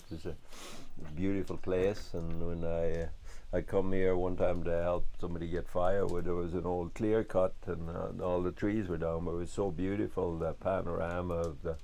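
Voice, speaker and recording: With a western Irish accent, a man speaks in a monotone, flat way with a dark, mellow tone and audible room echo. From west of Ireland. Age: 60s. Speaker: farmer. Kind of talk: documentary interview. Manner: halting.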